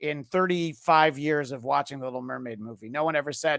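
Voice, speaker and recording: The speaker talks at a fairly quick pace with an American accent in a very clean recording with a silent background. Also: man. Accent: slight New York accent, stronger when tired. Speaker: podcast host. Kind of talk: casual chat. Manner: hesitant, many fillers and repeats.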